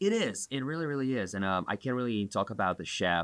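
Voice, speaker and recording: The speaker has an Eastern European accent and ordinary pitch variation. The recording is very clean, with a silent background and a dry, close sound with no echo. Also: man. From Belarus. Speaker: bar owner. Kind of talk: casual chat.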